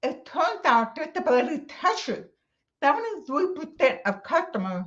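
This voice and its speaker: A woman talks at a fairly slow pace with an American accent. Her pitch swings very widely. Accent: deaf. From Texas. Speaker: accessibility conference speaker. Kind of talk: conference talk.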